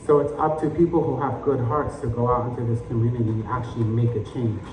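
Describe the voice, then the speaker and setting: Over noticeable background noise, a man speaks at a fairly quick pace with fairly even intonation and a medium pitch. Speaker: spoken word poet. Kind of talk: spoken word poetry performance.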